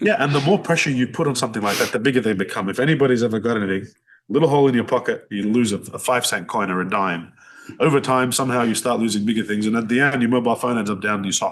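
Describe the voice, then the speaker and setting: The speaker talks very fast in an Australian accent. Pitch variation is ordinary. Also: man, medium pitch for a man. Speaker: business owner. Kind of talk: podcast interview. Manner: loud; animated.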